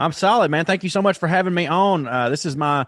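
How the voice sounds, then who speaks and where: A man with a Southern US accent talks at a moderate pace, his pitch fairly high. His intonation is lively against a quiet background. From US South. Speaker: comedian. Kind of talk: casual chat. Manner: animated.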